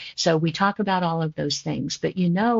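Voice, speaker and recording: Here is a woman with an unremarkable speaking voice at a fairly low pitch. She talks at a moderate pace. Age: 60s. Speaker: physician. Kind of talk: podcast interview.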